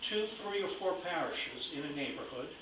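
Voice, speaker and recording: High-pitched male voice with lively intonation, plus noticeable background noise and audible room echo. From Italy (Rome). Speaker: lay church activist. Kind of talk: public talk. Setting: hall with audience.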